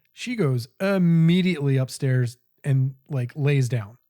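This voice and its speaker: Somewhat breathy and dark, mellow in tone, a man speaks at a very slow pace in a fairly high pitch. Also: very clean recording, silent background. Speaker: podcast co-host. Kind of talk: casual chat. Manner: animated storytelling.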